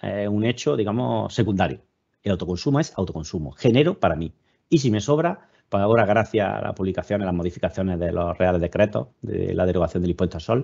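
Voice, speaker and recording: Speaking at a very fast pace in a southern Spanish accent, a man uses a fairly low pitch, a dark, mellow tone and lively intonation. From southern Spain. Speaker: webinar speaker, EV charging and self-consumption expert. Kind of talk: webinar presentation. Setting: online webinar.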